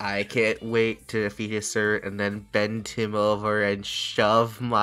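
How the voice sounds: A natural reading voice is heard here.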